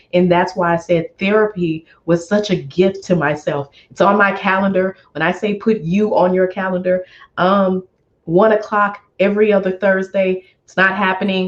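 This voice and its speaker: A woman speaks at a medium pitch and a moderate pace. Her tone is animated. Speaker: finance expert and money mentor. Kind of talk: interview.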